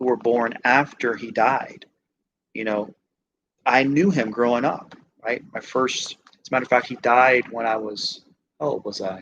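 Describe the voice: The pace is fairly slow and the tone fairly bright. Intonation stays fairly even. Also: man.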